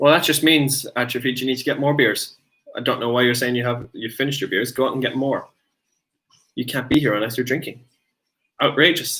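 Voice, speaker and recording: A man with an Irish accent speaks at a medium pitch in a bright, sharp tone, keeping fairly even intonation at a fairly quick pace broken by long, frequent pauses. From Ireland. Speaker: streamer's boyfriend. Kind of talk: casual chat. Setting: live stream.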